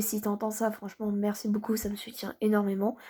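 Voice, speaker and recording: A soft-spoken woman with a fairly high, somewhat breathy voice is heard on a very clean recording with a silent background. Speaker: gaming youtuber. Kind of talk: gameplay commentary.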